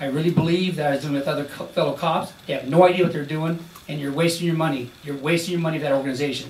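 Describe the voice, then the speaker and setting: Delivered at a very fast pace with fairly even intonation, the speech carries audible room echo and noticeable background noise. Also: man. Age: 60s. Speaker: retired police officer testifying. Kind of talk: testimony. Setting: senate hearing room. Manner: emotional, halting.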